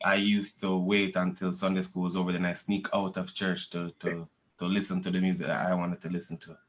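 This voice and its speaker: A man speaks at a very fast pace with a strong Jamaican accent. His pitch is very deep and low, and his intonation is monotone and flat. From Jamaica, moved to Canada as a child in the 1990s. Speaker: reggae/dancehall musician. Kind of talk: interview. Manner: casual, repetitive stammering.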